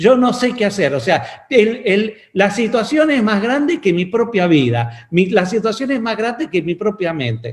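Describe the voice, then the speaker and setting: A man speaks at a high pitch and a fairly slow pace. His intonation is lively, with hardly any pauses. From Argentina (Mendoza). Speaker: pastor and physician. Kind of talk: sermon.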